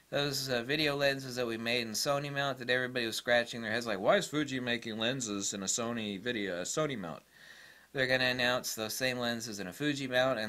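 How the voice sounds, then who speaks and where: Bright and sharp in tone, a man talks at a fairly quick pace with ordinary pitch variation. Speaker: photography YouTuber. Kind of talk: casual monologue. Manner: halting with many fillers.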